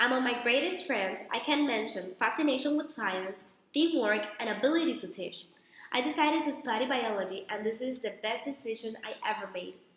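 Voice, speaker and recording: Over audible room echo, a woman speaks in a high pitch at a moderate pace with lively intonation. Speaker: applicant in a practice interview. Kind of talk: mock interview, rehearsed answers. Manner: formal.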